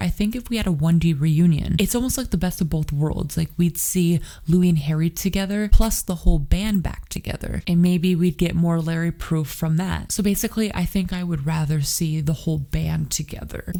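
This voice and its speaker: Soft-spoken and dark, mellow in tone, a woman talks at a fairly quick pace and fairly low pitch with ordinary pitch variation and hardly any pauses. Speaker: YouTuber. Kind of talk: casual talk to camera.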